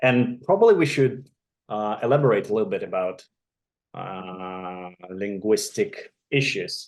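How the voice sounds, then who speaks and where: A man with a Russian accent talks at a fairly slow pace, his pitch swinging very widely. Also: medium pitch for a man. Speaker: orthodontist. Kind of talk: casual chat. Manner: halting.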